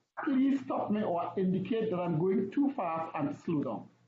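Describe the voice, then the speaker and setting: With lively intonation and a high pitch, a man's voice carries audible room echo. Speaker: officiating instructor. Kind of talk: lecture. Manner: fast.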